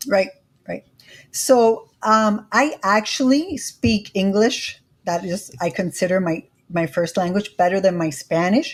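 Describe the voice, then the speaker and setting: Somewhat breathy, a woman speaks at a fairly slow pace in a medium pitch with lively intonation, in a very clean recording with a silent background. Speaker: credit educator and YouTuber. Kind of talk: interview.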